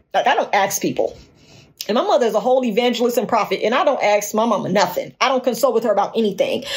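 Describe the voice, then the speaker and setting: A woman talks very fast with an American accent and a fairly high pitch. Her tone is animated, her pitch variation ordinary and her loudness very even. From Gary, Indiana (near Chicago). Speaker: podcast host. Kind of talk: solo podcast monologue.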